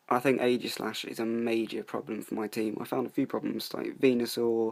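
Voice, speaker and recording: A man's medium-pitched voice, monotone and flat, at a moderate pace. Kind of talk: casual gameplay commentary.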